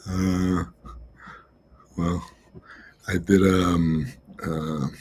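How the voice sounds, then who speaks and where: A man talks in an American accent with a very deep, low pitch. His intonation stays fairly even over noticeable background noise. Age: 60s. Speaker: technologist and political campaign advisor. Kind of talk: conference talk, casual self-introduction. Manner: halting, many fillers.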